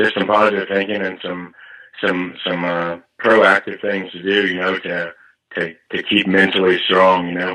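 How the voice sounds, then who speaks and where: A man's very deep, low voice, bright and sharp in tone, monotone and flat, at a moderate pace against a quiet background. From Nashville, Tennessee. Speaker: musician and military veteran. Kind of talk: interview.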